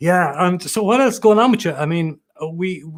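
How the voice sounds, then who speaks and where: This man has an Irish accent. He speaks at a moderate pace. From Ireland. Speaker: livestream music show host. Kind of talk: casual chat. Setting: livestream video call.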